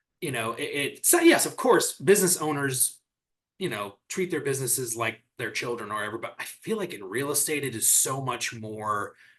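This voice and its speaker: In an American accent, a man with an ordinary speaking voice talks at a fairly high pitch with lively intonation. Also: fairly quick pace. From US Midwest, Michigan. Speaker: real estate executive and merger consultant. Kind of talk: podcast interview. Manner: conversational, with frequent fillers and restarts.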